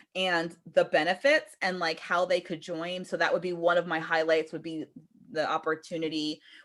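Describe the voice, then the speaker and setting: Over a silent background in a very clean recording, a woman speaks at a medium pitch. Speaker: direct sales team leader. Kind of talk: team training call. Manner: fast; casual.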